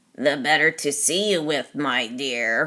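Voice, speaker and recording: A woman puts on a growling character voice with a very deep, low pitch. She speaks at a fairly slow pace. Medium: read story. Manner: sly.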